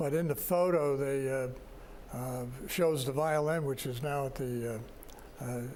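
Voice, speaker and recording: With an American accent, a man speaks at a fairly high pitch and fairly slow pace, his intonation fairly even and his pauses long and frequent. Room echo is audible, and background noise is noticeable. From New York. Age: 80s+. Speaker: retirement community resident board representative. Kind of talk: interview. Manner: halting, many fillers.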